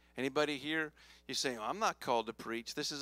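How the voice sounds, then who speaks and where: On a very clean recording with a silent background, a man speaks at a fairly high pitch in an animated, bright, sharp tone, with ordinary pitch variation. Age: 40s. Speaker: pastor. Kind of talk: sermon. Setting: church.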